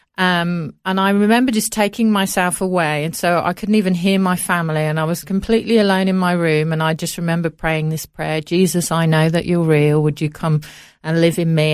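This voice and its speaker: In a very clean recording with a silent background, a woman with an English Midlands accent talks at a moderate pace, her pitch fairly low with ordinary variation. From Coventry, England. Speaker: charity founder. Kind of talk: casual interview. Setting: studio.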